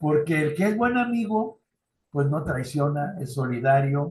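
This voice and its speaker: Very slowly and with lively intonation, a man speaks in a fairly high, somewhat breathy voice with a Mexican accent. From Mexico. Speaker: youth ministry trainer. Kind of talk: lecture. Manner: conversational.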